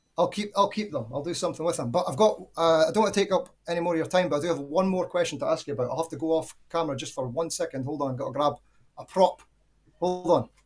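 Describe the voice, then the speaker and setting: A high-pitched man's voice with a Scottish accent at a very fast pace, with ordinary pitch variation. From Scotland. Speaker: caller. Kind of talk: casual chat.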